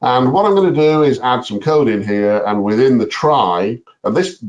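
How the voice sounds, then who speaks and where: Very wide pitch swings in a man's voice of medium pitch. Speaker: software presenter. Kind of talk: tutorial. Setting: webinar. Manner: fast.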